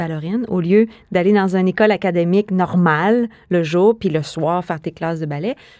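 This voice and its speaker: At a fairly quick pace, a woman speaks in a fairly low, dark, mellow voice with ordinary pitch variation, in a very clean, dry, close recording with no echo and a silent background. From Quebec City, Canada. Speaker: dancer and choreographer. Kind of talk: interview.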